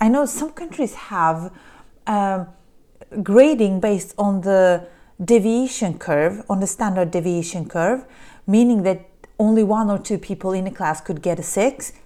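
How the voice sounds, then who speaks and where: With a Polish accent, a woman speaks at a moderate pace and medium pitch with lively intonation. Her tone is dark and mellow, and the recording is very clean with a silent background. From Poland. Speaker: podcast host, business coach. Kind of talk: solo monologue podcast. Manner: halting, frequent repetitions.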